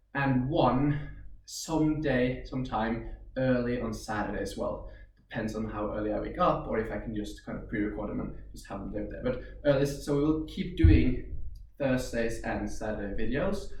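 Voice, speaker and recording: A man with a Norwegian accent at a moderate pace, big swings in loudness, audible room echo. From Norway. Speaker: karate instructor. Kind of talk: instructional tutorial. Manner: casual, hesitant with fillers.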